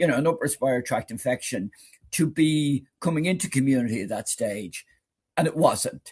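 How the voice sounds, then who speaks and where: A man with an Irish accent speaks with very wide pitch swings. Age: 70s. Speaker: retired doctor. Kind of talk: interview. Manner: halting, repeats words.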